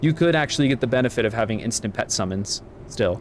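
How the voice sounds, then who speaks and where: A man talks at a very fast pace. Noticeable background noise can be heard behind him. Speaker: video game streamer. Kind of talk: casual gaming stream talk. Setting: live stream.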